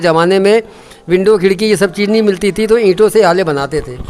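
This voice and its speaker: There is noticeable background noise behind this man. He speaks at a high pitch with ordinary pitch variation. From India, local neighbourhood of the temple. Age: 60s. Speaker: temple committee president. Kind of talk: interview, oral history. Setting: at a temple.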